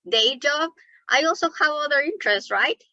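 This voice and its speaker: A woman's raised, projected voice, bright and sharp in tone, with a dry, close sound and no echo. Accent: Mexican. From Mexico City. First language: Spanish. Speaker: environmental justice advocate. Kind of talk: webinar presentation.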